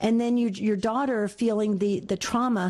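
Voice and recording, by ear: With a medium pitch and a slightly mellow tone, a woman talks at a moderate pace and with fairly even intonation.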